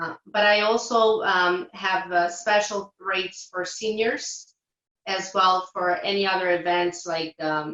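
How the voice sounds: In a Portuguese accent, the speaker reads at a slow pace with a fairly bright tone and fairly even intonation. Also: woman, fairly low pitch for a woman.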